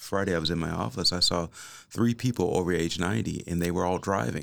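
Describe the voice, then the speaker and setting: An American accent with ordinary pitch variation on a very clean recording with a silent background. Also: man. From Kansas City. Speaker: family doctor. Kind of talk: casual interview. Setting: studio. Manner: halting, many fillers.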